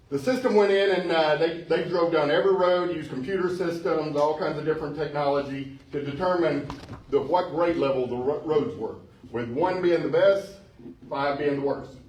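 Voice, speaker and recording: A man's fairly high voice, typical in its rise and fall, moves at a moderate pace through noticeable background noise and audible room echo. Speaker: city manager. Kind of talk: town hall presentation. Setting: community center meeting with audience. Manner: loud; casual with many fillers.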